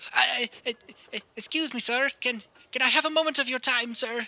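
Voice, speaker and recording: A man's put-on character voice, extremely high in pitch, at a moderate pace. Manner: nervous, hesitant, polite.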